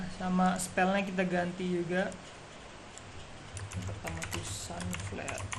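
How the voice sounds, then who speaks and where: A soft-spoken man talks at a moderate pace with long, frequent pauses, amid noticeable background noise and audible room echo. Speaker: university student. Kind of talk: tutorial. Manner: casual.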